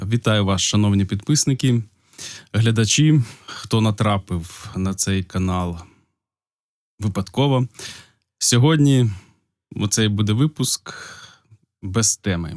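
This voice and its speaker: Very slow speech with long, frequent pauses and ordinary pitch variation, on a very clean recording with a silent background. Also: man, fairly low pitch for a man. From Ukraine, Polissia region. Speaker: video blogger. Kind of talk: casual unscripted talk to camera. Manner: hesitant, with pauses.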